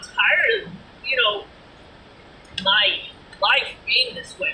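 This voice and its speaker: Over noticeable background noise, a woman with a Boston accent speaks at a fairly slow pace. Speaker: vlogger. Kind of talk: casual vlog monologue.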